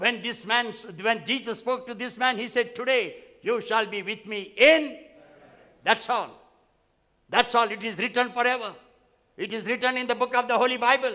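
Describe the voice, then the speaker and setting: Against a quiet background, a man with an extremely high pitch uses a raised, projected voice in a bright, sharp, animated tone, keeping a moderate pace broken by long, frequent pauses. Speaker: pastor. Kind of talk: sermon. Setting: church. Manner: animated, repetitive, call-and-response preaching; emphatic, repeating phrases for effect. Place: church. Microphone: headset.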